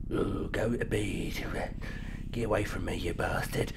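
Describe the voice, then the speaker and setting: A man whispering in a put-on character voice with a Cockney accent, fairly slow, over loud background noise. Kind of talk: let's play commentary. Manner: gruff, dismissive. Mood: playful mock fright.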